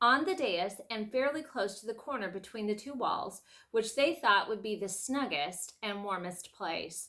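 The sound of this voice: This is an unforced reading voice. It is heard throughout.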